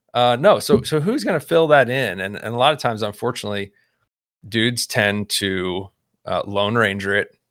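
A man with a plain, everyday voice of medium pitch speaks at a moderate pace with ordinary pitch variation, on a very clean recording with a silent background. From Texas, Houston suburbs. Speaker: nonprofit director, men's ministry leader. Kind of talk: casual interview chat.

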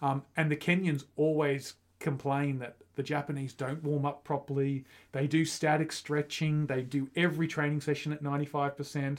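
Speaking in an Australian accent, a man uses a fairly high pitch and monotone, flat intonation at a moderate pace. The recording is very clean, with a silent background. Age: 40s. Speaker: running podcast co-host. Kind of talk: casual chat.

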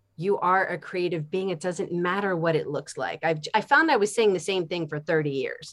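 A plain, everyday voice, its pitch varying in an ordinary way, with an American accent. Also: woman. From Philadelphia, US. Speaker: art teacher. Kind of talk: interview.

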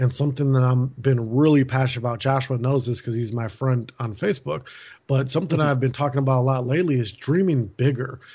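A man speaks with an American accent. His voice is somewhat breathy, with fairly even intonation. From US Midwest, Milwaukee, Wisconsin. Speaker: author and speaker. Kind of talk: interview.

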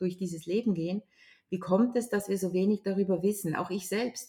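An unremarkable speaking voice, moderate in pace, its pitch varying in an ordinary way. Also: woman. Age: 60s. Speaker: grief counsellor and trainer. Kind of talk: interview.

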